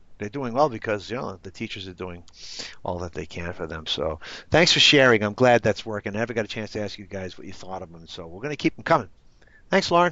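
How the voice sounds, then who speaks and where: Animated and lively, a man talks at a very fast pace in a fairly low pitch, with big swings in loudness. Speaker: program coordinator training instructors. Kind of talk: online training session. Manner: casual, animated.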